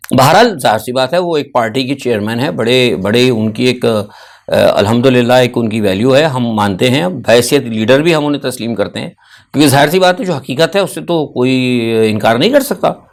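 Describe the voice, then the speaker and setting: His intonation is lively and his pace moderate. The man's pitch sits in the medium range. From Pakistan. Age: 60s. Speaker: political commentator. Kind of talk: news analysis monologue. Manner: halting, with frequent filler sounds.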